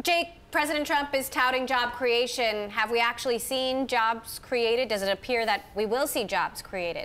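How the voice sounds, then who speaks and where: Bright and sharp in tone, a woman speaks at a high pitch and a moderate pace, with ordinary pitch variation. Her loudness stays very even, with hardly any pauses. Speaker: TV news anchor. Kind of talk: news broadcast. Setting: TV studio. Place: studio. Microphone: lapel.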